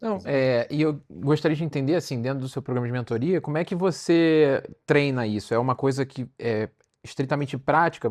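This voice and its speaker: With a strong Carioca accent, a man speaks fairly quickly at a fairly high pitch, his pitch varying in an ordinary way. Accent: carioca, with strong sh sounds. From Rio de Janeiro, Brazil. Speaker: cardiologist, podcast host. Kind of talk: podcast interview. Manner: fast.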